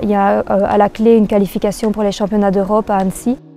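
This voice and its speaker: A woman speaks in a monotone, flat intonation. Background noise is noticeable. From Belgium, Libramont (Wallonia). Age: 20s. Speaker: trail runner. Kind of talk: interview. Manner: hesitant with frequent fillers.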